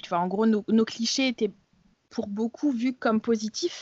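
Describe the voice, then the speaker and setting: A woman's pitch varies in an ordinary way as she talks at a moderate pace. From France. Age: 30s. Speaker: blogger and activist. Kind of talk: interview. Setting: remote recording. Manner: hesitant with many fillers and repetitions.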